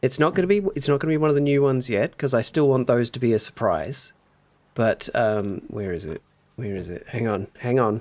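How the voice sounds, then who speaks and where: Someone with an Australian accent speaks at a fairly quick pace using lively intonation. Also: man, medium pitch for a man. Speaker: video game live streamer. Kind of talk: casual live-stream chat while gaming. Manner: animated, chatty.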